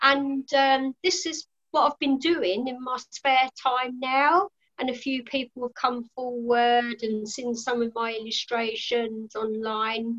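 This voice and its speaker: A woman with a British accent speaks at a very slow pace in a high pitch with ordinary pitch variation. The sound is dry and close, with no echo. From UK. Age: 50s. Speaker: guest, hobbyist artist.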